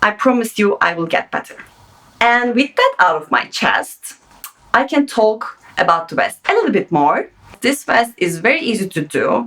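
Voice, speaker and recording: A woman with a non-native accent, fairly high in pitch, with very wide pitch swings at a moderate pace, over noticeable background noise. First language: not English. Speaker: sewing pattern designer. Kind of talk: tutorial. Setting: home sewing studio. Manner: casual, unscripted.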